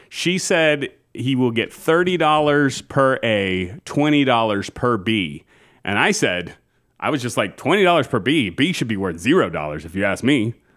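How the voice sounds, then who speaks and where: The speaker keeps a moderate pace while the pitch swings very widely. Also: man, medium pitch for a man. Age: 40s. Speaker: podcast co-host. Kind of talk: casual chat.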